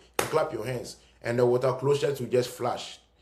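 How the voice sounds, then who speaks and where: The speech moves at a moderate pace, with noticeable background noise present throughout. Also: man. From Ghana (Cape Coast). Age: young. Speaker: commentator. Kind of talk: video monologue. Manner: animated.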